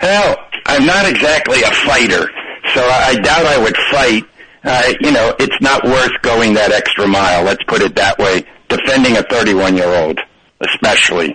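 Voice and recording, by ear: With a bright, sharp tone and a slightly husky edge, a man at medium pitch speaks at a moderate pace with ordinary pitch variation.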